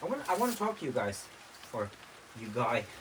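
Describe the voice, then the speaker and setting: There is noticeable background noise as a man speaks at a moderate pace with ordinary pitch variation. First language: Norwegian. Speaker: vlogger. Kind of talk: casual vlog monologue. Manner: halting.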